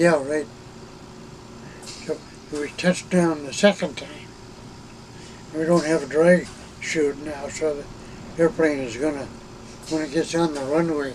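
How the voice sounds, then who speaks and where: Long, frequent pauses break up a man's fairly slow, fairly even delivery, with noticeable background noise behind him. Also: fairly high pitch for a man, big swings in loudness. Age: 80s+. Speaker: retired Air Force reconnaissance systems officer. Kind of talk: interview answer. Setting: inside an RV.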